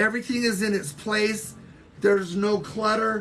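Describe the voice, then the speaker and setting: A woman talks fairly slowly, her voice ringing with audible room echo. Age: 60s. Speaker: social media livestreamer. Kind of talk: casual livestream chat.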